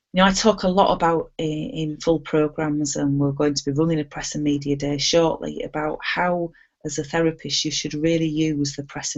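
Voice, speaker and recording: A woman's very deep, low voice at a fairly quick pace, with fairly even intonation. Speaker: hypnotherapy trainer. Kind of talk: online training webinar.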